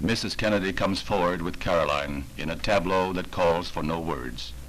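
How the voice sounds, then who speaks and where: Over noticeable background noise, a man with a very deep, low pitch speaks at a moderate pace in a solemn tone. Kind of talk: newsreel narration.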